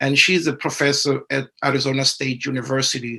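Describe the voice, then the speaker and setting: A man with a South African accent, a fairly high pitch and a bright, sharp tone. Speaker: professor. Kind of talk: webinar presentation.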